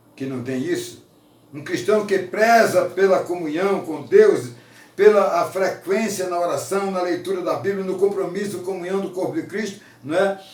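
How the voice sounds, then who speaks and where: A man with a high pitch and ordinary pitch variation speaks at a moderate pace, with audible room echo and noticeable background noise. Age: 70s. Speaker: preacher. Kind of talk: sermon.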